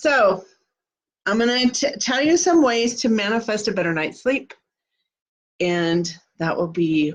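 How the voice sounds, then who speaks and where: A woman with a Kansas accent speaks very slowly, her pitch swinging very widely. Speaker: manifesting coach. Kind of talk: live stream talk. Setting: live video stream. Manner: casual.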